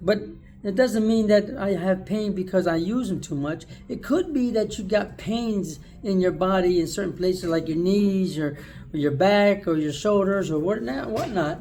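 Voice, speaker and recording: Audible room echo surrounds a man who speaks at a high pitch in a dark, mellow tone with ordinary pitch variation. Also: moderate pace. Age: 60s. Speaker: video blogger. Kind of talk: casual monologue. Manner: casual, conversational.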